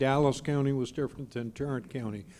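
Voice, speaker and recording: Fairly high in pitch, this man's voice is an ordinary speaking voice with ordinary pitch variation. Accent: American. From not from Texas, lived in many states. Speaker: hospital council executive. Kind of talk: panel discussion.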